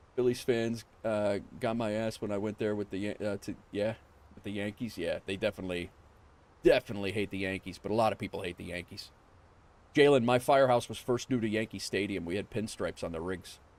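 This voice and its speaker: A man speaks at a fairly quick pace with a fairly low pitch. His intonation stays fairly even while his loudness swings widely. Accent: New York. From New York. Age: 40s. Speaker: flight sim streamer. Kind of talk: casual livestream chat. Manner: casual, chatty.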